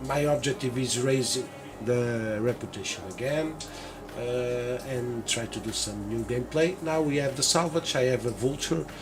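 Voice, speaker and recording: A man talks at a moderate pace. Noticeable background noise and audible room echo surround him. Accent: Portuguese. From Portugal. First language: Portuguese. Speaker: gaming youtuber. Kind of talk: gameplay tutorial. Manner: halting, many fillers.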